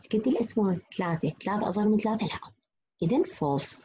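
A woman speaks at medium pitch in an Iraqi accent, her tone dark and mellow. Her voice is somewhat breathy, with lively intonation. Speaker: university lecturer. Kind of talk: lecture.

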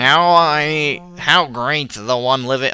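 A man's put-on character voice, fairly high in pitch, over clear background noise. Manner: put-on character voice, pompous.

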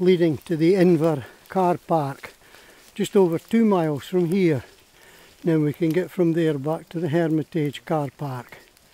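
At a fairly slow pace, a man with a high pitch and ordinary pitch variation speaks with long, frequent pauses in a dry sound with no echo. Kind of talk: casual walk commentary. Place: forest. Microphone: phone near.

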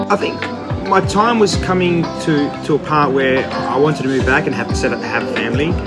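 Loud music plays in the background as a man talks at a fairly quick pace. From Adelaide, South Australia. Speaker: chef and restaurant owner. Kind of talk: interview answer. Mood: calm, reflective. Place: cafe. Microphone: phone near.

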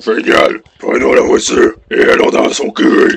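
A raspy put-on character voice from a man, extremely high-pitched, at a fairly slow pace. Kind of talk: comic dubbing of game dialogue. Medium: game stream. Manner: brash, bossy.

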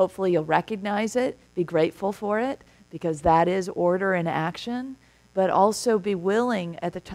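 Moderate pace and ordinary pitch variation from a woman. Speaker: minister giving a talk. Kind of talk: sermon. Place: church.

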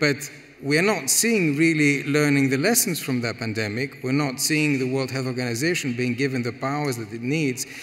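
A man speaks with a Greek accent at a moderate pace. His pitch varies in an ordinary way. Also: hardly any pauses. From Greece. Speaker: economic policy expert. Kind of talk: panel discussion. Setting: stage with audience. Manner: halting, many repetitions. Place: hall. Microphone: headset.

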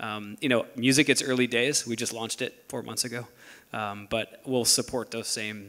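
The man keeps a moderate pace. His intonation stays monotone and flat. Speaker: tech company product executive; panelist. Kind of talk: panel discussion. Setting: stage with audience. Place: stage. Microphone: handheld.

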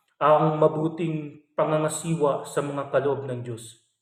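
The voice has a warm tone and ordinary pitch variation, moving at a fairly slow pace. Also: man. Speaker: religious reflection vlogger. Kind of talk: bible reflection. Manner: polite, warm address.

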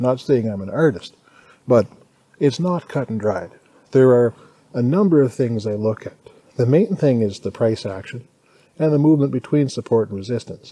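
Lively in intonation and dark and mellow in tone, a man speaks at a moderate pace with long, frequent pauses, recorded dry with no echo. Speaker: day trader vlogger. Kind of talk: casual vlog chat. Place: garden. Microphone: phone near.

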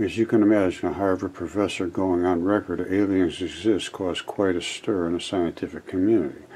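Light background noise underlies a man's very deep, low voice. He keeps a moderate pace and fairly even intonation. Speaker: channel host. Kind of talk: commentary. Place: home room.

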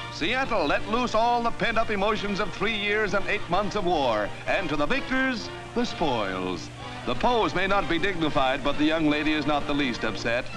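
With music playing behind him, a man speaks in an upbeat, energetic tone, high-pitched with very wide pitch swings, a moderate pace and very even loudness. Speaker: newsreel narrator. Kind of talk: newsreel narration.

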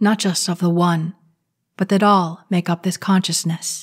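On a very clean recording with a silent background and a dry, close sound with no echo, a woman speaks at medium pitch and a moderate pace in a somewhat breathy voice with monotone, flat intonation. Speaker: channel creator, spiritual commentator. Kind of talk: guided meditation and spiritual commentary, reading a 1950s radio talk aloud.

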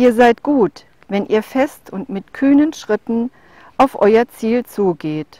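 Solemn in tone, a woman speaks very slowly in a fairly high, dark, mellow voice with lively intonation, the sound dry and close with no echo. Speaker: poetry reader. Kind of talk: reading aloud of a literary prose poem, calm and contemplative. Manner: slow, measured, soft-spoken, meditative; formal, solemn with deliberate pauses.

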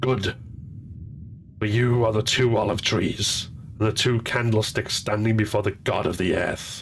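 A man's put-on character voice, raspy and menacing, fairly low in pitch, at a moderate pace with long, frequent pauses over clear background noise. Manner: menacing, prophetic.

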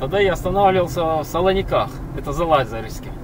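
Against noticeable background noise, a man speaks fairly quickly with ordinary pitch variation. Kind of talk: casual driving commentary. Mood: relaxed, amused. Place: car. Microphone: camera far.

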